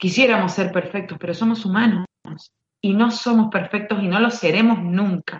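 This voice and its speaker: A woman with an Argentine accent speaks with fairly even intonation. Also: medium pitch for a woman, moderate pace. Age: 30s. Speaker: basketball referee. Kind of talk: interview. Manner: halting, many repeated words.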